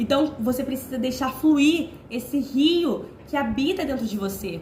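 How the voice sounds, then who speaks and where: Noticeable background noise surrounds a woman speaking at a moderate pace with a high pitch and ordinary pitch variation. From Rio de Janeiro, Brazil. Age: 20s. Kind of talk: informal sermon to camera. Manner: casual, conversational.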